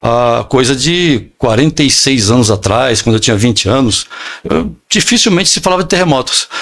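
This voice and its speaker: A man at medium pitch with lively intonation, a moderate pace, and very even loudness. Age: 60s. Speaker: pastor. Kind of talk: interview, preaching style. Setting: podcast studio. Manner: halting, many fillers.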